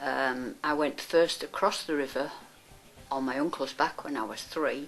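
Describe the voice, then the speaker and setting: Music plays behind a woman speaking at a fairly slow pace. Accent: Yorkshire. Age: 80s+. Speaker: volunteer swimming coach. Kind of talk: interview testimony.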